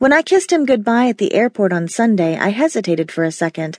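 Very wide pitch swings from a woman speaking at a moderate pace. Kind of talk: audiobook narration, first-person romance. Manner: intimate, conversational, expressive.

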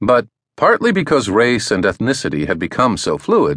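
Very wide pitch swings at a moderate pace, with a dry, close sound, no echo, and a quiet background. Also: man. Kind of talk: audiobook narration. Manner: formal; measured, even-paced.

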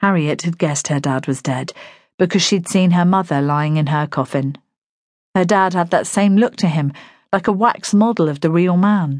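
With a British accent, a woman speaks at a moderate pace in a fairly low pitch with ordinary pitch variation against a quiet background. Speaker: audiobook narrator. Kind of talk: dramatic audiobook narration, with character voices. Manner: gentle, consoling tone for the neighbour's lines.

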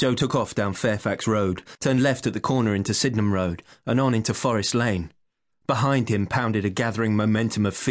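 Quiet surroundings and a natural reading voice.

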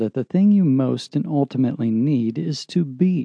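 A man's normal speaking voice, medium in pitch, with lively intonation. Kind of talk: audiobook narration, reading a self-help text aloud. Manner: measured, calm, earnest and formal.

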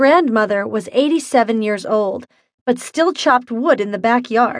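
At a fairly slow pace, a woman with an unremarkable speaking voice talks with ordinary pitch variation. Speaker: audiobook narrator. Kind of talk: ghost story telling, spooky and playful first-person horror-comedy narration.

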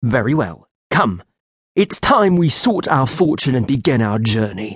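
A man puts on a growling character voice with very wide pitch swings. His pace is moderate and his pitch is medium. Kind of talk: formal, archaic. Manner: cool, regal.

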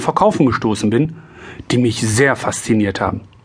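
A man talks at a moderate pace in a medium pitch. Noticeable background noise can be heard. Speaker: insurance broker and sales trainer. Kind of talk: audiobook narration. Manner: amateur, non-professional reading.

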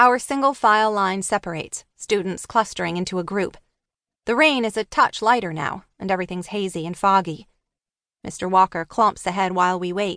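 Her tone bright and sharp, a woman speaks with a dry, close sound and no echo. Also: medium pitch for a woman, ordinary pitch variation, moderate pace, quiet background. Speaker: audiobook narrator. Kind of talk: dramatic audiobook narration, first-person teen thriller read aloud with character voices. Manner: hushed, tense and suspenseful, with wry teenage sarcasm and shifts between characters.

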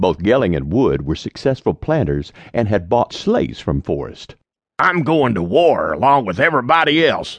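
His pitch swings very widely. The man speaks with vocal fry. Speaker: audiobook narrator. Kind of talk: audiobook reading of historical narrative. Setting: studio recording. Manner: measured storyteller pacing, formal.

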